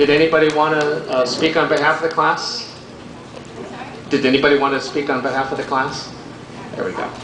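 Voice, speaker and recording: With audible room echo and noticeable background noise, a man speaks in a fairly high pitch at a fairly quick pace, keeping fairly even intonation and taking long, frequent pauses. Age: 70s. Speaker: ceremony emcee. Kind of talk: public ceremony speech.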